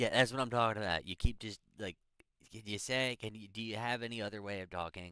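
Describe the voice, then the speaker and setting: A man speaks at a very fast pace in a bright, sharp tone. The recording is very clean, with a silent background. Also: fairly low pitch for a man, big swings in loudness. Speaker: livestreamer building an AI chatbot. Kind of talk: casual livestream talk with AI bot. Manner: halting, many fillers and restarts.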